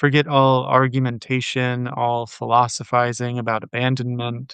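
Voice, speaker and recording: A man's medium-pitched, unremarkable speaking voice. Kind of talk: poetry reading. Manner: calm, relaxed.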